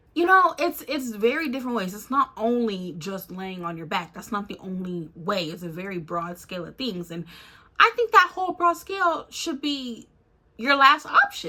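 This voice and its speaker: A woman's animated, fairly high voice with very wide pitch swings over noticeable background noise. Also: big swings in loudness. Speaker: YouTuber. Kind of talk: casual rant to camera. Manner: loud.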